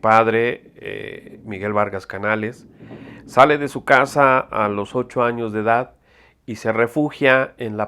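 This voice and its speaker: On a very clean recording with a silent background, a man with a Mexico City accent speaks very slowly in a bright, sharp tone at a medium pitch, with fairly even intonation and big swings in loudness. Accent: Mexican Spanish (Mexico City). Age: 60s. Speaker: photographer. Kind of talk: interview testimony. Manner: halting, many fillers.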